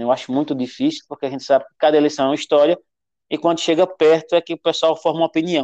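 A man's fairly high, dark, mellow voice at a very fast pace with big swings in loudness. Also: dry, close sound with no echo. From Pernambuco, Brazil (Venturosa). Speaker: teacher and school administrator. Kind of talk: interview conversation.

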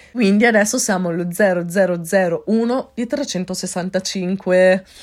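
The recording is very clean, with a silent background. A woman speaks at a medium pitch with ordinary variation. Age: 20s. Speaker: podcaster and life coach. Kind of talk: solo podcast monologue. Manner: upbeat.

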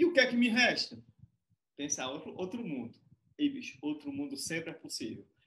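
With a bright, sharp tone, a man speaks at a high pitch with very wide pitch swings, moving at a moderate pace broken by long, frequent pauses. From Fortaleza, Ceará, Brazil. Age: 40s. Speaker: researcher and community mediator. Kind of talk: online panel discussion. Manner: animated.

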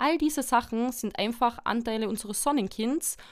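A woman's fairly high-pitched, ordinary speaking voice at a moderate pace, on a very clean recording with a silent background. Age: 20s. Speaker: psychology graduate and family support worker. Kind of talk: interview on psychology topic.

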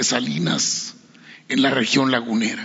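A man speaks at a fairly slow pace with medium pitch. Noticeable background noise and audible room echo are present. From Mexico, Coahuila (San Pedro de las Colonias). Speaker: journalist. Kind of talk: press conference question.

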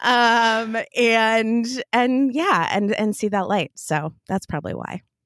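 In a very clean recording with a silent background, a woman with an American accent speaks very slowly at a fairly high pitch with ordinary pitch variation. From US Midwest, small town Minnesota. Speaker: entrepreneur. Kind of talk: casual interview. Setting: recording from home closet.

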